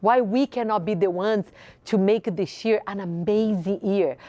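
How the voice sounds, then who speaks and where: With a slight Brazilian accent, a woman talks in an animated tone at a moderate pace with ordinary pitch variation. The sound is dry and close with no echo, over a quiet background. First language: Portuguese. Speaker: women's group founder and show host. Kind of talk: motivational speech. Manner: animated, rhetorical.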